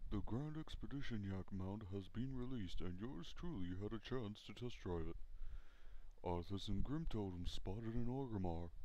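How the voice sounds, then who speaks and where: A man's put-on character voice, fairly low in pitch, at a moderate pace with clear background noise. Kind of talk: parody TV news anchor read.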